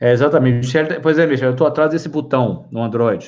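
In an unremarkable speaking voice, a man talks at a fairly quick pace with ordinary pitch variation. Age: 50s. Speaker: live-stream host on psychology and wellbeing. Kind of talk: casual live-stream talk.

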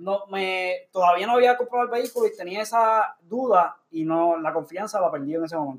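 Hardly pausing, a man with a high voice talks at a fairly quick pace. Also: ordinary pitch variation. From US, Puerto Rican family. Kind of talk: casual banter podcast.

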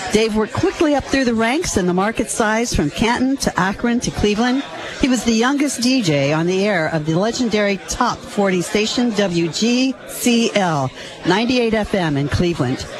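Over noticeable background noise, a woman with a fairly high voice talks at a moderate pace, her pitch swinging very widely while her loudness stays very even. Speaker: local official presenting a resolution. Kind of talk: reading a proclamation and chatting. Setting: live event in a noisy room.

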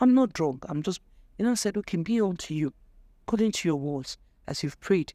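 The voice has a Nigerian accent, a dark, mellow tone and lively intonation. The sound is dry and close with no echo, on a very clean recording with a silent background. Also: woman. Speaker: guest, teacher and banker. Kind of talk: testimony, faith talk.

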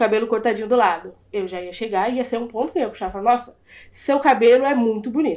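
A woman speaks in an ordinary speaking voice at a fairly high pitch with ordinary pitch variation. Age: 20s. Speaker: podcast guest. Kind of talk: casual chat.

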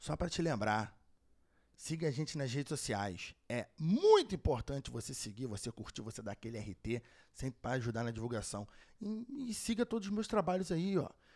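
A man at a medium pitch speaks at a moderate pace, his pitch swinging very widely. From Brazil, Rio de Janeiro. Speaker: podcast host and streamer. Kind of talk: show outro announcements; casual interview chat.

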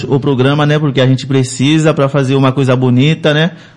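This is a plain, everyday voice belonging to a man. Pitch sits in the middle range and varies in an ordinary way. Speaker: web radio host. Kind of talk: casual interview chat.

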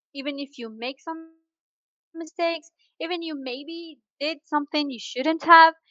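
Her high-pitched voice moves along at a fairly slow pace as the woman speaks. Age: 20s. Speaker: discussion group host. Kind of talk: casual chat.

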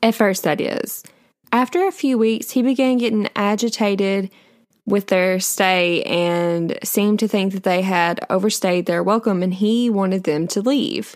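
Using a plain, everyday voice, a woman talks at a medium pitch and a fairly slow pace with ordinary pitch variation. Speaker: true crime podcaster. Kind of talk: true-crime narration, casual storytelling. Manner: conversational, chatty; casual, with filler words and a slightly indignant tone.

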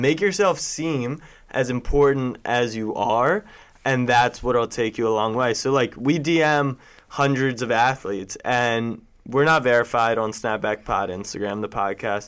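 On a very clean recording with a silent background, a man with a plain, everyday voice speaks at a moderate pace. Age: 20s. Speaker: sports media entrepreneur. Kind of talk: casual interview. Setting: office studio.

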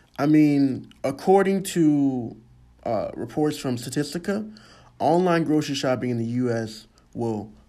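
The man's dark, mellow voice moves at a fairly slow pace with lively intonation, and room echo is audible. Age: 20s. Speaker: college student. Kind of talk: school project monologue. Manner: halting.

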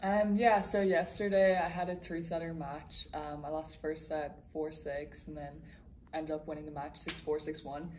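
A woman speaks in a very deep, low pitch with a Dublin accent and fairly even intonation, with audible room echo. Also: moderate pace. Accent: Irish, Dublin. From Dublin, Ireland. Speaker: college tennis player. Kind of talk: interview. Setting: tennis tournament campus.

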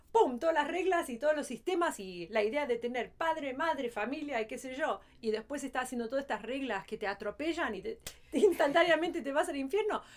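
This woman's high-pitched voice moves at a fairly quick pace and makes very wide pitch swings. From Los Angeles, raised in Argentine-Spanish home. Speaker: podcast co-host. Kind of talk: casual chat.

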